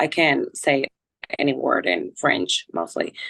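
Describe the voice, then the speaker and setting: Speaking at a fairly slow pace, a woman talks with a Spanish accent. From Colombia. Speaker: volleyball player. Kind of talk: casual interview.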